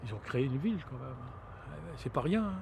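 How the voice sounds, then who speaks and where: A man talks at a fairly quick pace with a medium pitch. His voice is somewhat breathy, with a dark, mellow tone. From Brittany, France (Saint-Malo). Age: 60s. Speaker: local resident. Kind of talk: interview testimony. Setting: outdoors at a viewpoint. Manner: halting, many hesitations.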